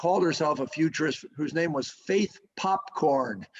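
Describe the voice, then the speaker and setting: Pitch variation here is ordinary, and the pace is moderate. It's a plain, everyday voice. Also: man. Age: 60s. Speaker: sports association executive. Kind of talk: interview.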